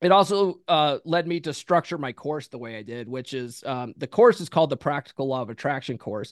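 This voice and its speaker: A man with a normal speaking voice talks at a fairly quick pace in a fairly high pitch, with big swings in loudness, lively intonation and hardly any pauses, in a dry, close sound with no echo. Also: quiet background. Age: 40s. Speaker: author and podcast host. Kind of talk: casual interview.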